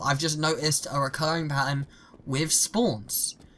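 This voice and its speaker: The pace here is moderate. A British accent comes through. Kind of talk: gaming opinion commentary.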